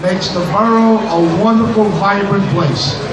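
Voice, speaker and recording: A man speaks at a fairly slow pace. The room echo is audible, with noticeable background noise. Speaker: state assemblyman. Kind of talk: rousing speech to a crowd. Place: hall.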